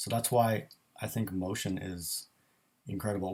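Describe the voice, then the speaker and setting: This man speaks at a fairly slow pace in a somewhat breathy voice. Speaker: graphic designer. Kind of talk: live stream Q&A. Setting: live stream. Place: home room. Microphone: built-in microphone.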